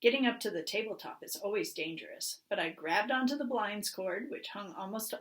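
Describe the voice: The speech here is plain reading aloud.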